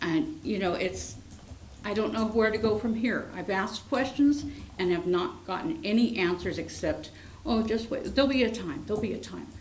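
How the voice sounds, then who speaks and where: A woman with an American accent speaks at a moderate pace in a fairly high voice, her intonation lively, with audible room echo around her. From San Francisco, California. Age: 60s. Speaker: school teacher speaking at public comment. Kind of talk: public comment at council meeting. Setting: city council meeting.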